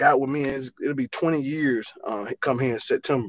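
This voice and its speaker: At a moderate pace, a man talks at a medium pitch with an Alabama accent. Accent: Southern US (Alabama). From Alabama, US South. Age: 40s. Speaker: college football running back coach. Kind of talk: interview. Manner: halting, many fillers and repeats.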